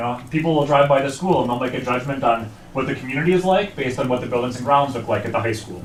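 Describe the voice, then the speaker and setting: A man talks with a strong Wisconsin accent. Background noise and room echo are both audible. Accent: thick Wisconsin. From northeastern Wisconsin (Algoma). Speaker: survey research director. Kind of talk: presentation to school board. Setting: school board meeting.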